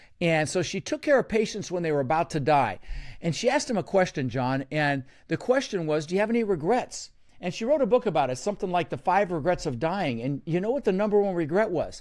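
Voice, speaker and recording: Very fast and animated, a man with an American accent talks at a high pitch with very wide pitch swings, on a very clean recording with a silent background. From Netherlands, immigrated to US at six. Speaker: real estate investor and coach. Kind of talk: podcast interview.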